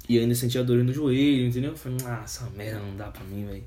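Medium-pitched male voice, dark and mellow in tone, with fairly even intonation and audible room echo. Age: 20s. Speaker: podcast host. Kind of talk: casual chat.

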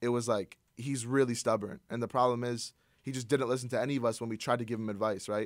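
A man's medium-pitched voice at a very fast pace with an American accent and fairly even intonation, on a very clean recording with a silent background. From US Northeast. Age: 20s. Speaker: YouTuber. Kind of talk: casual chat. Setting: studio.

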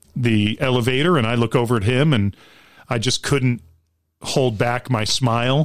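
Heard on a very clean recording with a silent background, an unremarkable speaking voice with an American accent moves at a moderate pace, with ordinary pitch variation and very even loudness. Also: man. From Long Island, New York. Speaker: theater actor. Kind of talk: casual chat.

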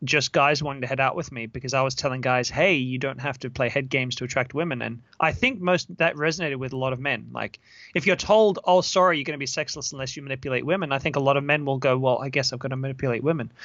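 A man with an Australian accent, fairly high in pitch, at a very fast pace with hardly any pauses and ordinary pitch variation. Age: 30s. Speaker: dating coach. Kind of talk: interview.

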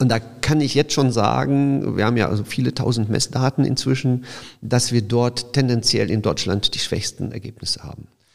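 A man speaks at a moderate pace. His pitch is medium with ordinary variation. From Silesia, Poland (Opole area), moved to Düsseldorf at 12. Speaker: startup founder. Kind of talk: interview. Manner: halting, many fillers and restarts.

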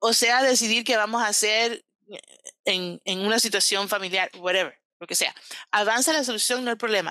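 On a very clean recording with a silent background and a dry, close sound with no echo, a woman speaks at a moderate pace in a fairly high, bright, sharp voice with ordinary pitch variation. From Cuban-American, raised in US. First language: English (speaking Spanish). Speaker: relationship coach. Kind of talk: interview.

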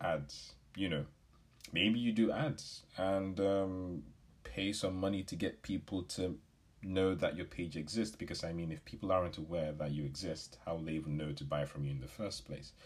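A man with a very deep, low pitch and lively intonation speaks at a moderate pace on a very clean recording with a silent background. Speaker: business podcast host. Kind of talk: solo podcast talk. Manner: casual, with filler words.

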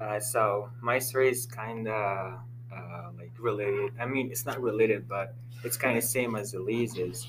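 Amid noticeable background noise and audible room echo, a man speaks. His delivery is fairly slow, with flat, monotone intonation. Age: young. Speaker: student group discussion leader. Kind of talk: casual chat. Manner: halting.

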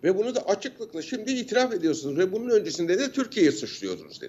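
A man with a high pitch speaks with very wide pitch swings. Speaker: university lecturer and defence analyst. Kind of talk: interview commentary. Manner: animated; halting with fillers.

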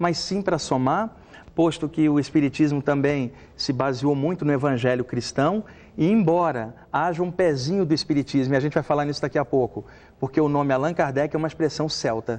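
This man has an ordinary speaking voice, fairly high in pitch with ordinary variation, delivered at a moderate pace. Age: 40s. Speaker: medium and spiritual author. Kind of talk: TV talk show interview.

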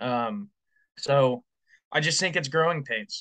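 The tone is bright and sharp, set against a quiet background. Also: man, dry, close sound with no echo. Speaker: podcast co-host. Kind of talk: casual sports chat.

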